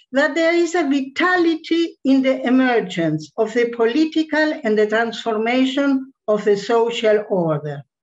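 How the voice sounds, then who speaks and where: Against a quiet background, a woman speaks fairly slowly in a high voice that makes very wide pitch swings. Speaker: academic commentator. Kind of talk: read academic commentary. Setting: video call. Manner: formal. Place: home room. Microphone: webcam.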